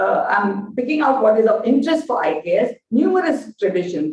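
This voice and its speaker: This is a woman speaking. She has a Gujarati accent. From India, Gujarat. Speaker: lecturer on Indian knowledge systems. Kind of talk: lecture. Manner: halting, many fillers.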